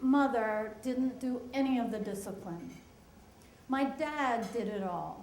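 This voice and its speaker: Amid noticeable background noise and audible room echo, a woman with an American accent speaks in a high pitch with lively intonation. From US Northeast, Pennsylvania/Delaware area. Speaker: storyteller. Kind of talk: personal storytelling.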